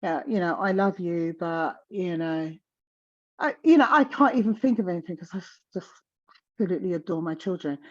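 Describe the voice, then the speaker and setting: Over a quiet background, a woman with a South London accent speaks fairly quickly at a medium pitch, her intonation lively and her loudness swinging widely. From South London, England. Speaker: menopause guest speaker. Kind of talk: casual chat.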